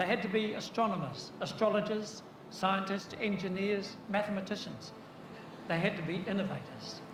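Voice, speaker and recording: Over noticeable background noise and audible room echo, a man with a New Zealand accent speaks at a high pitch and a moderate pace in a monotone, flat way. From New Zealand, east coast of North Island. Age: 70s. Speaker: keynote speaker. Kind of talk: conference presentation.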